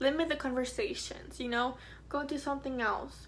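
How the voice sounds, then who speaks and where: A woman is speaking. Room echo is audible. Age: 20s. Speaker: vlogger. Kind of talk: personal testimony. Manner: halting.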